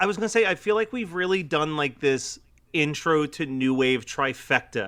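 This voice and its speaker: A man with a Philadelphia accent speaks at a moderate pace in a bright, sharp tone. The recording is very clean, with a silent background. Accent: Delco (Philadelphia area). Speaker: podcast co-host. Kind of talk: casual chat.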